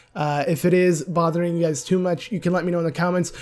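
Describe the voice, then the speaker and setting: Very fast delivery with fairly even intonation over music in the background. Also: man. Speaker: gaming YouTuber. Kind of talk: casual discussion video.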